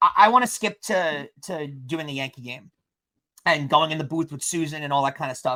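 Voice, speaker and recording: With a normal speaking voice, a man talks at a fairly high pitch and moderate pace, with ordinary pitch variation and big swings in loudness. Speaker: podcast host interviewing the guest. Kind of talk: podcast host questions.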